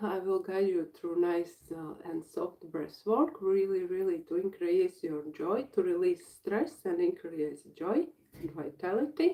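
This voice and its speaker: Speaking with a Latvian accent, a woman talks at a fairly slow pace. Her dark, mellow voice swings very widely in pitch. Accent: Latvian accent, non-native English. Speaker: breathwork facilitator and healer. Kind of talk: live workshop introduction. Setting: livestream. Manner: halting.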